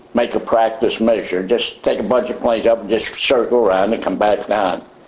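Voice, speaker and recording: A man talks at a moderate speed while noticeable background noise carries underneath. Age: 80s+. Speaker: WWII pilot and veteran. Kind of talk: interview answer.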